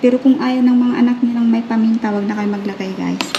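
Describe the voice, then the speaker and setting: A woman's fairly high-pitched voice with fairly even intonation, audible room echo, and noticeable background noise. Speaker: home cooking vlogger. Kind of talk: cooking tutorial. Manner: stumbling over words; casual, chatty. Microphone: broken mic, voice sounds distant.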